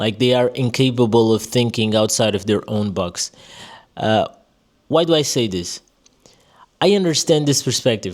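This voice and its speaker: A man at medium pitch with a Portuguese accent, a moderate pace, ordinary pitch variation and long, frequent pauses. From Portugal. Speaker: vlogger. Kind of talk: personal monologue. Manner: casual, many fillers.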